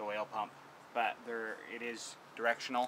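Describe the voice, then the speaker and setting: A man speaks as noticeable background noise carries on behind him. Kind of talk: tutorial. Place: garden. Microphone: phone near.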